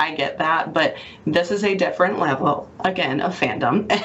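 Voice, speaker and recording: A woman speaks with a Mississippi accent amid noticeable background noise and audible room echo. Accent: Southern US (Mississippi). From Mississippi Gulf Coast, St. Martin. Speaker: hospital communications manager. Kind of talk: radio interview.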